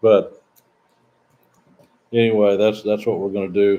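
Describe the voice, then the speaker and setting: This man has a fairly low pitch and a dark, mellow tone, with a slight Southern US accent. His intonation stays monotone and flat. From US South, Southeastern Missouri. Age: 60s. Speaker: expat vlogger. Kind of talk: casual live-stream Q&A. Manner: halting, repetitive.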